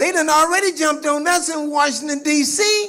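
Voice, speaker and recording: An animated man raises and projects his extremely high voice at a fairly quick pace, with noticeable background noise and audible room echo. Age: 70s. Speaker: activist speaker. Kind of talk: speech to audience. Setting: stage with audience. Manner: repetitive stammering.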